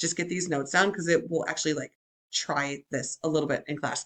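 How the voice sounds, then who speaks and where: A woman speaks in an animated tone. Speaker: high school psychology teacher. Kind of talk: recorded lecture. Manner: fast; casual, animated.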